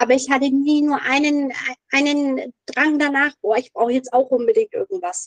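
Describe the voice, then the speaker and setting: A woman's high-pitched voice with lively intonation, very even loudness and a moderate pace, dry and close with no echo. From Middle Franconia, Bavaria, Germany. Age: 30s. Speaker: recovering alcoholic, office clerk. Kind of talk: personal testimony interview. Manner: hesitant, many fillers.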